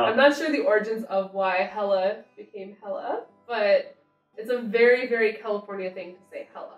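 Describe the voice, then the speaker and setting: A woman with an American accent speaks at a fairly high pitch and moderate pace with ordinary pitch variation, with audible room echo and faint music in the background. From United States. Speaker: slang explainer. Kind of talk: casual conversation on camera. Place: home room. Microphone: camera far.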